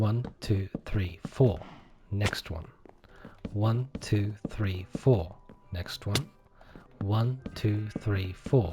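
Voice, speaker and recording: Over music in the background, a man with a non-native accent speaks at a very slow pace with fairly low pitch, ordinary pitch variation and long, frequent pauses. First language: not English. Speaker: gaming YouTuber, accountant. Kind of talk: casual gameplay commentary. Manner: relaxed, conversational.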